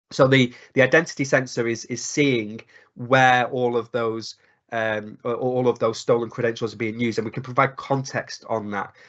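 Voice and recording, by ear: A man speaks at a moderate pace. His tone is fairly bright and his intonation fairly even. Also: medium pitch for a man.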